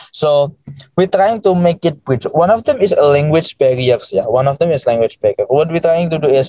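With a dry, close sound and no echo, a man in an Indonesian accent talks at a fairly quick pace in a high pitch with ordinary pitch variation. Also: very even loudness. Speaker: education startup founder. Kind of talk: interview conversation. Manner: hesitant with many fillers.

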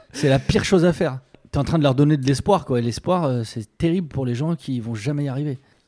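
The pace is fairly quick. The tone is dark and mellow. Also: man. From France, rural village. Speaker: comedian playing a character. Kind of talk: casual chat.

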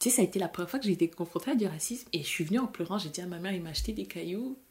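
A woman with a fairly low pitch and a dark, mellow tone talks at a very fast pace. Her voice is somewhat breathy, with ordinary pitch variation. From France, with Senegalese family. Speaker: chemical engineer, immigrant. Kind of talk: interview conversation.

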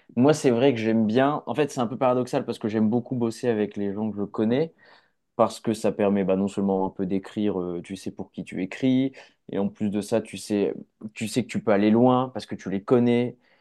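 A dark, mellow tone comes at a moderate pace over a quiet background. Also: man, medium pitch for a man. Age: 20s. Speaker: film director. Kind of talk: casual chat.

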